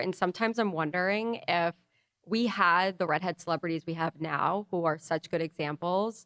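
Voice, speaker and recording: In a very clean recording with a silent background and a dry, close sound with no echo, a woman uses a normal speaking voice, fairly low in pitch, with ordinary pitch variation at a moderate pace. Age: 30s. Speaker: podcast co-host. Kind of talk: casual chat.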